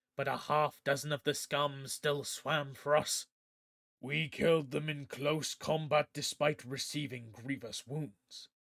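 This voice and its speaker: A man puts on a raspy character voice, fairly high in pitch. He keeps a monotone, flat intonation at a moderate pace. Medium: read story. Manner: pompous, royal we.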